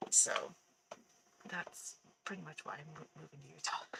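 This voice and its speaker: The voice is quiet. It moves at a moderate pace. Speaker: game streamer. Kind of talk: casual chat. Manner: halting. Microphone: microphone far away.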